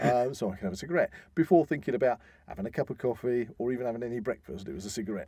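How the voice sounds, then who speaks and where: With an English accent, a man speaks very fast at medium pitch, his tone dark and mellow and his intonation lively, in a dry, close sound with no echo. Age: 50s. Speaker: podcast host. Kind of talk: casual chat. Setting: studio.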